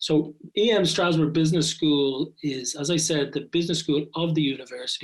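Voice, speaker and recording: A man speaks with an Irish accent and fairly high pitch. His intonation stays fairly even. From Ireland, Dublin. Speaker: business school professor. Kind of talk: podcast interview.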